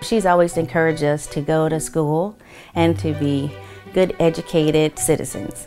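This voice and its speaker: Over faint background music, a woman with a very deep, low voice speaks at a moderate pace with lively intonation. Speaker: granddaughter or grandson of the voter. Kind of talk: interview answer. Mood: warm, proud. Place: home room.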